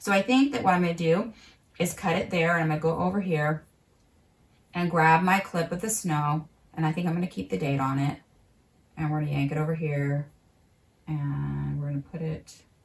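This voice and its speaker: A woman with a very deep, low, somewhat breathy voice talks at a fairly quick pace broken by long, frequent pauses. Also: ordinary pitch variation. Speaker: market gardener and vlogger; vlogger editing her video. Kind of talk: tutorial; casual tutorial narration. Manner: fast; casual, thinking aloud. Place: home room.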